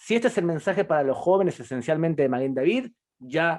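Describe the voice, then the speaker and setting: The speaker is a man. His voice is high-pitched. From Argentina. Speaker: public diplomacy program director. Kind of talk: interview.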